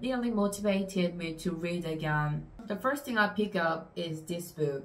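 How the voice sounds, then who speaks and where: Her pitch varies in an ordinary way as a woman talks with a non-native accent. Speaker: booktuber. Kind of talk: casual talk to camera. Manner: hesitant, many fillers.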